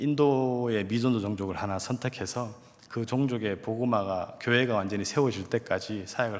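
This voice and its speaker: A man with a strong Gyeongsang accent and a medium pitch. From Korea, Gyeongsang region. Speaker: evangelist, missionary. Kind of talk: testimony.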